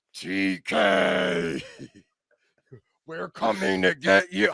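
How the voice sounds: In a put-on character voice, a man speaks very slowly with a very deep, low pitch and a menacing tone.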